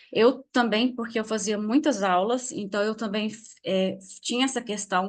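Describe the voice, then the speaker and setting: A woman's fairly high pitch with ordinary pitch variation, against a quiet background. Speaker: essential oils teacher. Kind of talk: online class. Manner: fast.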